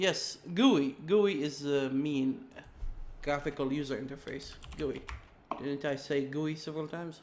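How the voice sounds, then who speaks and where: A man with an Arabic accent speaks at a fairly slow pace, with long, frequent pauses. His pitch is fairly high, with ordinary variation. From Saudi Arabia. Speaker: game programmer streamer. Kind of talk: live coding stream. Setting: live stream. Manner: halting.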